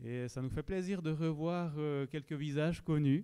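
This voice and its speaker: A man with a slight Swiss French accent speaks at a moderate pace, his fairly high voice dark and mellow in tone with ordinary pitch variation. The recording is very clean, with a silent background. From Switzerland. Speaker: pastor. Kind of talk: church announcements.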